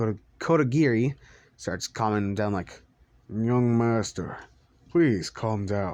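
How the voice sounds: Pitch shifts in an ordinary way throughout this natural reading voice.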